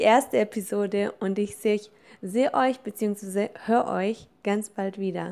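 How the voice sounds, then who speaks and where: A woman talks at a fairly slow pace. The recording is very clean with a silent background. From Germany, Allgäu (Kaufbeuren). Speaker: business coach. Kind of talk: podcast introduction monologue.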